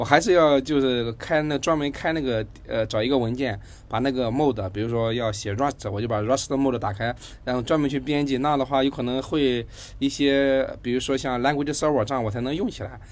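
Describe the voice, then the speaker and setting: This is an unremarkable speaking voice at a fairly quick pace, with ordinary pitch variation. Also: man, medium pitch for a man. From Hangzhou, China. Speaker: podcast host. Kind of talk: casual interview chat.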